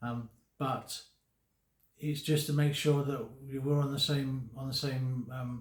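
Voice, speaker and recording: Somewhat breathy, a man speaks at a fairly slow pace and medium pitch in a monotone, flat way. Long pauses come often. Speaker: vlogger living with Parkinson's. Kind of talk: personal vlog talk to camera. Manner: slurred speech; halting, many fillers and repetitions.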